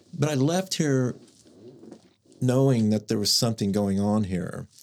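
Very clean recording with a silent background of a man in an American accent, a normal speaking voice at a moderate pace with ordinary pitch variation. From Oklahoma, Mustang. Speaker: painter. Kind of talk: casual interview.

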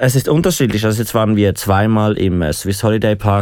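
This man's voice sits at a fairly low pitch. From Switzerland, Aargau. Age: 20s. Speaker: hospitality student living with HIV. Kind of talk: interview. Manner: hesitant, many fillers.

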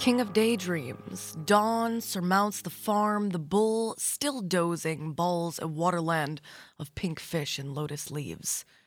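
Very slow speech from a woman with a fairly low pitch, a warm tone and lively intonation, with music in the background. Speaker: radio host. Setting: live radio studio. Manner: smooth, warm and conversational, unhurried with station-ID phrases.

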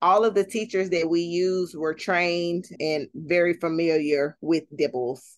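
A woman with an American accent speaks at a fairly slow pace in a fairly low pitch, with an unremarkable speaking voice and a quiet background. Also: ordinary pitch variation, hardly any pauses. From Texas, Fort Worth. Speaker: parent literacy advocate. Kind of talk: interview.

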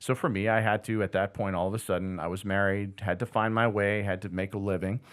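Talking very fast in a flat monotone, a man speaks with an American accent and a fairly low pitch. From Boston area, then New Jersey. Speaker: business owner, former radio broadcaster. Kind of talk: casual interview.

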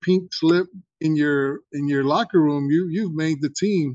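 Over a quiet background, a man talks at a fairly slow pace. His pitch is fairly high, with ordinary pitch variation. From Houston, Texas (born in Mexico). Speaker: artist and former football player. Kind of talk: casual chat. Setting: video call. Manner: soft-spoken.

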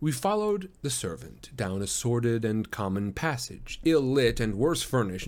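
Text is read aloud in a natural voice.

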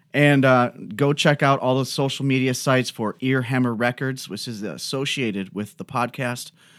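On a very clean recording with a silent background, a man with an ordinary speaking voice and a medium pitch talks at a moderate pace with fairly even intonation and hardly any pauses. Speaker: podcast host and record label owner. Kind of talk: casual interview chat.

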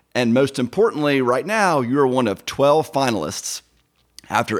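With an American accent, a man speaks at a medium pitch and shows ordinary pitch variation. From US South, Georgia. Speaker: podcast host, lawyer. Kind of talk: casual interview chat. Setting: at the guest's home. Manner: fast.

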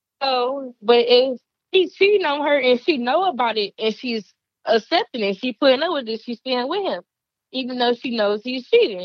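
A woman with a high pitch speaks at a moderate pace with lively intonation. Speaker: podcast guest, recent high school graduate.

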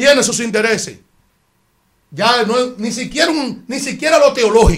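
Here a man speaks at an extremely high pitch with ordinary pitch variation. His pace is fairly slow, broken by long, frequent pauses. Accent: Dominican. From Dominican Republic. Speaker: radio co-host. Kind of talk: casual chat.

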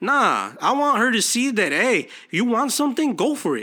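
An extremely high-pitched man's voice, raised and projected, bright and sharp in tone, animated, at a moderate pace. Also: very clean recording, silent background. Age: 30s. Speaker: podcast host. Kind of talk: motivational monologue.

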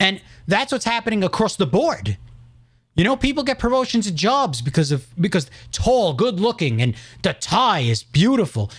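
With a New York accent, a man speaks at a moderate pace in a high pitch, his pitch swinging very widely while his loudness stays very even. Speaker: podcast host. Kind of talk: casual chat. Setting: live stream.

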